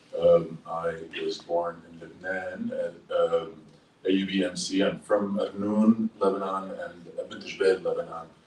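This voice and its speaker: This man has an American accent. Background noise is noticeable throughout. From Dearborn, Michigan, US. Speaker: public health professional, former congressional staffer. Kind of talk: panel discussion.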